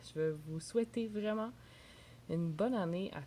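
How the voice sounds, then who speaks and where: In a Quebec accent, a woman speaks with fairly low pitch, a dark, mellow tone, some breathiness and ordinary pitch variation. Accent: Québécois French. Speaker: entrepreneur and video blogger. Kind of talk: casual vlog monologue. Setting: at home in a bathrobe.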